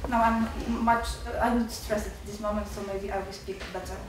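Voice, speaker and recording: Through audible room echo and noticeable background noise, a woman with an Eastern European accent and a fairly high pitch speaks at a moderate pace. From Poland. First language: Polish. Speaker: student. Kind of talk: audience comment at seminar. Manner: halting.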